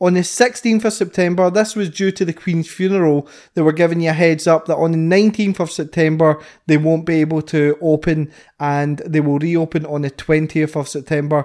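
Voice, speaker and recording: Recorded very cleanly with a silent background, a man with a Scottish accent talks at a fairly quick pace with fairly even intonation. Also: fairly high pitch for a man. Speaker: podcast co-host. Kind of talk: casual chat.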